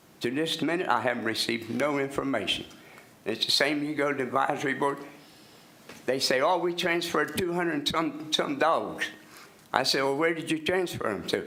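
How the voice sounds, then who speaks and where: A fairly high-pitched man with an American accent, at a fairly quick pace, with ordinary pitch variation, very even loudness and audible room echo. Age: 80s+. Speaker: resident speaking at public comment. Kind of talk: public comment at county meeting. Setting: public meeting room. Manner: halting, repetitive.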